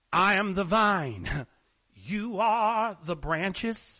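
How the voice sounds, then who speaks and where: In a put-on character voice at a middle pitch, the speech goes at a very slow pace. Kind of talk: preacherly. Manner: dramatic.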